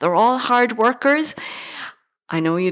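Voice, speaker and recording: A woman speaks with an Irish accent at a fairly slow pace. Her intonation is lively. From Ireland, County Galway (Tuam). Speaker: actor. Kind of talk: interview.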